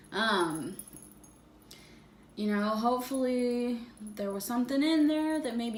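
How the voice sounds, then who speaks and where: A woman speaks fairly slowly, with audible room echo and noticeable background noise around her. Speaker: fitness vlogger. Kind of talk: casual vlog monologue. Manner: hesitant, many fillers.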